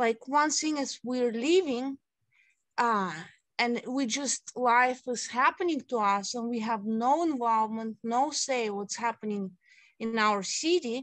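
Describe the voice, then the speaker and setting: In a quiet background, a woman with a Russian accent speaks at a fairly slow pace and high pitch. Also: ordinary pitch variation. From Siberia, Russia. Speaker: city council candidate. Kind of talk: interview.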